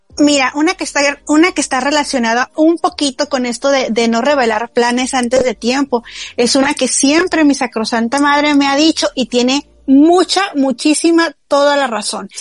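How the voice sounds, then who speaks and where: In a dry, close recording with no echo, a woman with a high pitch talks at a moderate pace with ordinary pitch variation. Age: 20s. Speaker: podcast co-host. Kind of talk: casual chat.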